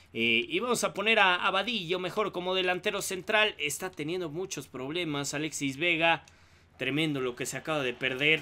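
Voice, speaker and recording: The man's voice is high in pitch, with a bright, sharp tone. He keeps a moderate pace and ordinary pitch variation. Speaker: gaming YouTuber. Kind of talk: gameplay commentary. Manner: hesitant, many fillers.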